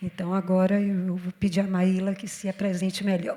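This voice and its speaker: This is a woman speaking at a medium pitch. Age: 60s. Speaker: panel moderator. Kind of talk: panel discussion.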